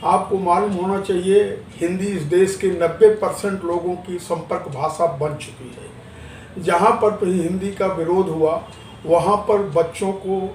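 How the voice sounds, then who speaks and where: Audible room echo and noticeable background noise surround a man whose voice is high-pitched for a man. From Maharashtra, India. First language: Marathi (speaking Hindi). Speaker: interviewee on language politics. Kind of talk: news interview.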